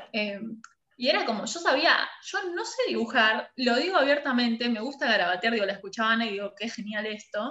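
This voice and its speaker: A woman's fairly high voice, a plain, everyday voice, with lively intonation. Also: moderate pace. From Argentina, La Pampa (Santa Rosa). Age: 30s. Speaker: design studio director. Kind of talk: interview.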